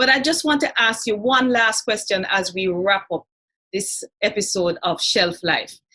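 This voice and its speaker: In a Jamaican accent, a woman speaks at a fairly slow pace with a fairly high pitch, a bright, sharp tone and lively intonation. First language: Jamaican Patois. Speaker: talk show host. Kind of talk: interview.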